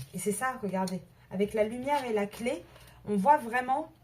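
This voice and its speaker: Lively intonation marks this woman's speech. Her pitch is medium and her voice somewhat breathy. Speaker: tarot card reader. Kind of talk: tarot reading video. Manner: halting, many repetitions.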